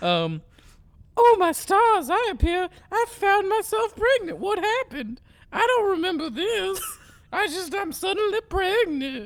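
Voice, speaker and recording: Very slowly, a woman delivers a put-on character voice at an extremely high pitch. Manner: exaggerated, old-fashioned, dramatic.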